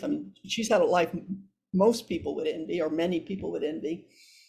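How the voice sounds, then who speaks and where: Speaking with an American accent, a woman talks at a moderate pace with lively intonation. Her voice is somewhat breathy. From US Midwest (Iowa). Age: 70s. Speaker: psychotherapist. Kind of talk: podcast interview. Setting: podcast. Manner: halting, frequent repetitions.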